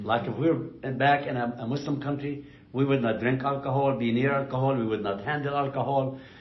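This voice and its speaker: A man's medium-pitched voice at a fairly quick clip, with hardly any pauses, fairly even intonation and noticeable background noise. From Palestine (Jerusalem). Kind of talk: oral history interview answer. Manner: conversational, informal.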